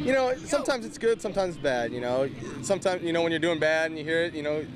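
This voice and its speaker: Over noticeable background noise, a man with an American accent rushes along at a very fast pace, his fairly high pitch swinging very widely. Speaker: sports reporter and anchor. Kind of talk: TV sports news reporting, feature package. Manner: conversational, lightly humorous.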